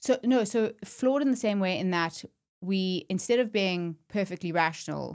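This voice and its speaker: A woman with a South African accent speaks at a medium pitch and a moderate pace with ordinary pitch variation, in a very clean recording with a silent background. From South Africa, Johannesburg. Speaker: startup co-founder. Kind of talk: podcast interview.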